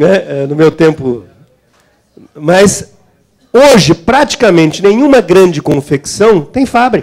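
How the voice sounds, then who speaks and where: Very slowly and with long, frequent pauses, a man speaks in a high voice with very wide pitch swings. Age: 60s. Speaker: trade unionist and government representative. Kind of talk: seminar talk. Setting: seminar hall with audience.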